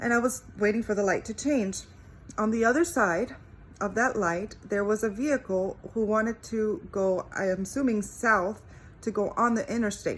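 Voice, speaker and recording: A woman speaks with a Spanish accent. Her voice is fairly high and somewhat breathy. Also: ordinary pitch variation, moderate pace. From Cuba. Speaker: faith vlogger. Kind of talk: testimony.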